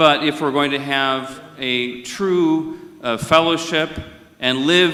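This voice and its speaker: A man with an American accent talks at a very slow pace. Noticeable background noise and audible room echo fill the recording. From India. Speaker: conference moderator. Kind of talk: formal opening remarks. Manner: formal.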